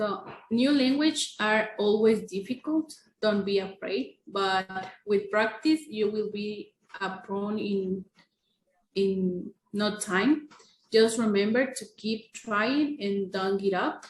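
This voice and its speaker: The speaker talks very slowly with a Spanish accent. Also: woman, fairly high pitch for a woman, ordinary pitch variation. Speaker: English language student. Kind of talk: casual podcast chat. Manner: hesitant.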